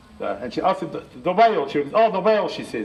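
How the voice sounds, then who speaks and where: A man at a fairly quick pace with ordinary pitch variation, under noticeable background noise. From New Zealand. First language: Māori. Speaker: Māori elder and educator. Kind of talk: public heritage talk. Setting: library presentation. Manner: hesitant, conversational.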